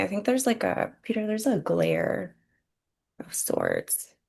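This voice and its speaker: A woman speaks with a Spanish accent over a quiet background. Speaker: real estate agent. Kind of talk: webinar presentation.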